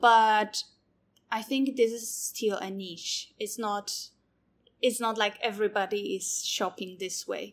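With a Polish accent, a woman speaks very slowly at a fairly high pitch and with fairly even intonation. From Poland. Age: 30s. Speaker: zero-waste shop owner. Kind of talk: interview. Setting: online session.

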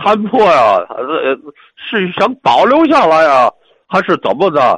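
A man talks at a very slow pace, his voice dry and close with no echo. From Tianjin. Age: 70s. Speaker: opera troupe musician. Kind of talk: reminiscence. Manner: halting, many fillers and repetitions.

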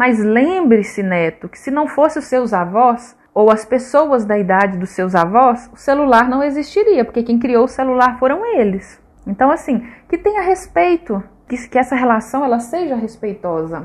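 Big swings in loudness and very wide pitch swings from a woman with a high pitch, at a moderate pace. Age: 20s. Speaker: social worker. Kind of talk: radio interview.

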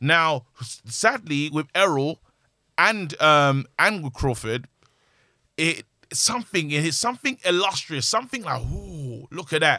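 A man with a fairly high pitch speaks at a fairly slow pace, his tone bright, sharp and animated, his intonation lively. The recording is very clean, with a silent background. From London (Brixton). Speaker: podcast co-host, boxing fan. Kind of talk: casual chat.

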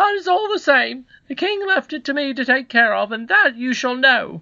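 A man performs a put-on character voice at extremely high pitch, bright and sharp in tone with vocal fry. He keeps a moderate pace and ordinary pitch variation.

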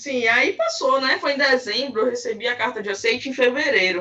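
Raising and projecting her high-pitched voice, a woman speaks at a moderate pace. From Belém, Pará, northern Brazil. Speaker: anthropologist. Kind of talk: interview.

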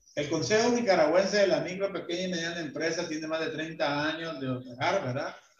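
A man's fairly high voice at a fairly quick pace, ordinary pitch variation, and noticeable background noise. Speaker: business association leader. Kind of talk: interview. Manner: halting.

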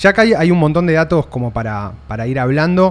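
A plain, everyday voice, a man's, with lively intonation at a moderate pace. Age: 30s. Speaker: podcast host. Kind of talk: casual interview chat. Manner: casual.

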